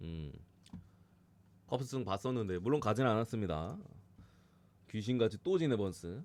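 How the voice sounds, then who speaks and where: A man talks with long, frequent pauses. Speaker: sports betting analyst streamer. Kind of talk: live stream sports analysis. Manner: fast, casual.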